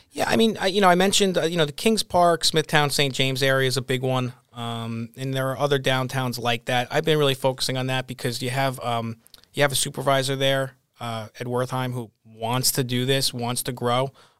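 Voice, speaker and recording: In a normal speaking voice with an American accent, a man talks at a fairly quick pace and medium pitch, with ordinary pitch variation. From Long Island, New York. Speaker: business advocacy organization president. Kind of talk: casual interview.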